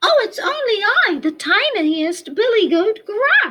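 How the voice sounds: In a squeaky, put-on character voice with extremely high pitch, the speaker goes at a fairly slow pace.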